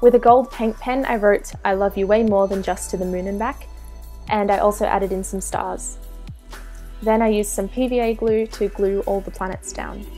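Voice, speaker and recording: Music plays in the background as someone with an Australian accent speaks at a moderate pace. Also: woman. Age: 20s. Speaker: DIY craft YouTuber. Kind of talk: craft tutorial voiceover.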